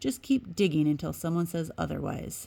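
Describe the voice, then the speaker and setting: In a very clean recording with a silent background, a put-on character voice at a middle pitch moves at a moderate pace. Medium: read story.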